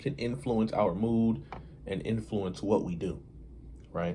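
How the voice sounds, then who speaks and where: A somewhat breathy man's voice at medium pitch, with lively intonation. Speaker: hip-hop commentator and video creator. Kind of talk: casual monologue to camera. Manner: slow, deliberate; hesitant, filler-heavy.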